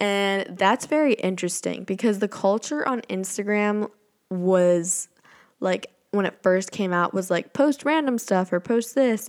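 The speech moves at a fairly slow pace. Its pitch varies in an ordinary way. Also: woman. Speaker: podcast host. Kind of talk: casual solo monologue. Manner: occasional stumbles.

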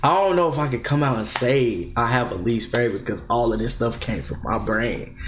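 The speaker moves at a fairly quick pace with hardly any pauses and lively intonation. There is audible room echo and noticeable background noise. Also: man, medium pitch for a man. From Bahamas. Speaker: rapper. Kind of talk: casual chat.

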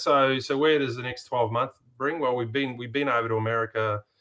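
Over a very clean recording with a silent background, a man with an Australian accent talks at a very fast pace with fairly even intonation. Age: 50s. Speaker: off-road racer and race organiser. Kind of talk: casual interview chat.

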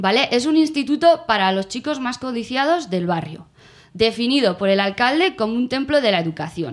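In a very clean recording with a silent background, a woman speaks at a moderate pace in a fairly high, animated voice with very wide pitch swings. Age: 30s. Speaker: podcast co-host. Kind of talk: casual chat.

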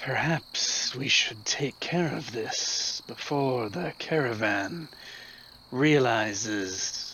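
A man's put-on character voice at medium pitch and very slow pace, over clear background noise. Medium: actual play. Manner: measured, conspiratorial.

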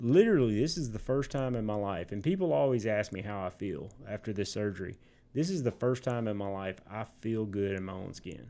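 A man talks at a fairly quick pace with hardly any pauses, his fairly low voice dark and mellow in tone with lively intonation. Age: 40s. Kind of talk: casual chat.

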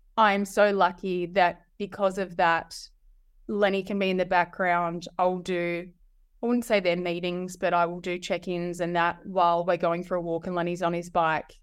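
With an Australian accent, a woman speaks at a moderate pace in a fairly low voice. Her intonation is monotone and flat, over a quiet background. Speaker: marketing strategist and solo mother. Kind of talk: interview.

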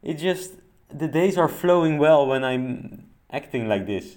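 The man talks with a non-native accent at a fairly high pitch. His pace is fairly slow. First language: not English. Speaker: personal development podcaster. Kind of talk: solo monologue podcast.

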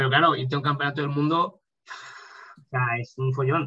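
A man speaks in a flat monotone at a fairly high pitch. His tone is bright and sharp. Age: 20s. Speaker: powerlifter. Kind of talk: interview.

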